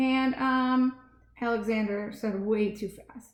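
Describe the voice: Someone is doing plain reading aloud. The words come out as plain reading aloud.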